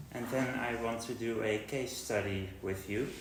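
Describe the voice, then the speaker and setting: A man with a Dutch accent speaks at a very slow pace. Noticeable background noise and audible room echo surround him. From Netherlands. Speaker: linguistics researcher. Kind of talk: lecture. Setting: university seminar with audience. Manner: hesitant with frequent fillers.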